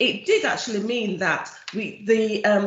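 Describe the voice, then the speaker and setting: This is a woman speaking. Both audible room echo and noticeable background noise can be heard. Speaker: charity chief executive. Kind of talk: presentation at an online event.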